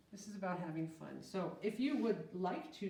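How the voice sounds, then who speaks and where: With a somewhat breathy voice at a medium pitch, a woman speaks at a moderate pace. Room echo can be heard. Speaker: art teacher. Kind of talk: tutorial. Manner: casual, friendly.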